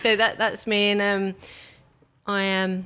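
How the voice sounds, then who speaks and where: A woman with an English accent and a bright, sharp tone, speaking at a fairly slow pace in a very clean recording with a silent background. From England. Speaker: photographer. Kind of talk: podcast interview.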